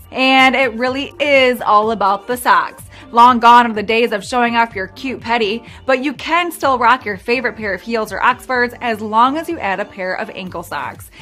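Faint music sits in the background. A woman speaks with ordinary pitch variation. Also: moderate pace. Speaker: fashion video host. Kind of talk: presenter script. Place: studio.

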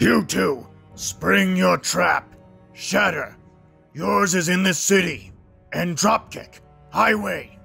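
Putting on a character voice, a man speaks at a very slow pace with long, frequent pauses while faint music plays in the background. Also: fairly high pitch for a man. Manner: shouting, domineering, furious.

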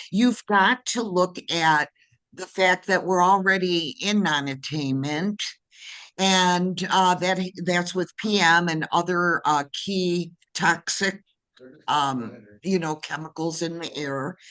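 Against a quiet background, a woman speaks very slowly in a fairly low voice. Her tone is bright and sharp, with ordinary pitch variation. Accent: American. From Detroit, Michigan. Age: 60s. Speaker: public commenter. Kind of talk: public hearing testimony. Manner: halting, many fillers.

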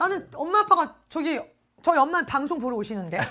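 A woman speaks in a high pitch with a bright, sharp tone. Her delivery is animated, with very wide pitch swings. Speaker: live commerce shopping host. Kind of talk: live shopping broadcast.

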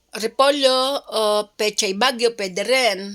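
An ordinary speaking voice is heard at a fairly slow pace. Its pitch varies in an ordinary way. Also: woman. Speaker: cooking vlogger. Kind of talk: cooking tutorial.

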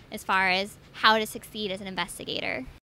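A woman speaks in a bright, sharp tone. Her pace is fairly quick.

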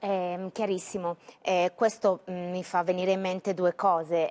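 A woman at medium pitch and moderate pace. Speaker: TV business news anchor. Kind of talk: live TV news broadcast. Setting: studio. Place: studio. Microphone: lapel.

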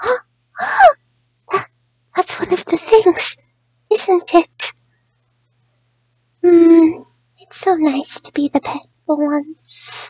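A woman speaks in a cartoonish character voice, extremely high-pitched, at a very slow pace with long, frequent pauses. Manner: soft-spoken, timid, hesitant.

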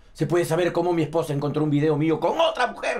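The words come very fast, with pitch that varies in an ordinary way. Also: man. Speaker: actor playing an angry minister. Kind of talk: scripted drama dialogue. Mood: angry, scolding. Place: office.

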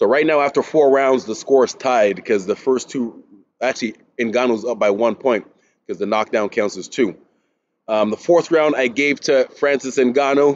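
The pace is moderate for this male speaker. Ordinary pitch variation runs through his speech. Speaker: boxing commentator. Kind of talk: commentary. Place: gym. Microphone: webcam.

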